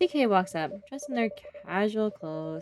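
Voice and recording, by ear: Lively intonation colors a passage someone reads aloud in a natural voice.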